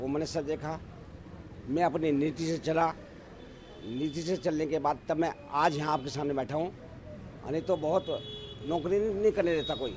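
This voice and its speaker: Fairly high-pitched male voice, a normal speaking voice with fairly even intonation. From Rishikesh, Uttarakhand. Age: 60s. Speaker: local election candidate, retired engineer. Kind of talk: interview.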